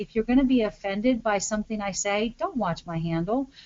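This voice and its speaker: A woman with an American accent talks at a fairly quick pace, her fairly high pitch moving with ordinary variation. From New York. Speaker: social media branding consultant. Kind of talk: webinar presentation. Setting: online webinar. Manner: fast.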